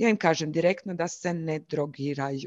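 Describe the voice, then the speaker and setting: Against a quiet background, a woman speaks with a fairly low pitch and fairly even intonation. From Croatia, Zagreb. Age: 30s. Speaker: YouTuber sharing lived experience of bipolar disorder. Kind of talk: interview, personal testimony.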